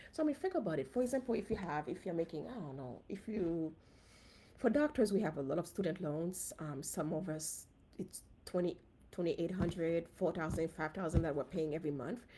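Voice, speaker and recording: The voice has a dark, mellow tone and a Haitian accent. Delivery is fairly quick with lively intonation. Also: woman, fairly low pitch for a woman. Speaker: physician and personal finance host. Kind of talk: casual live stream talk. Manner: conversational, with fillers.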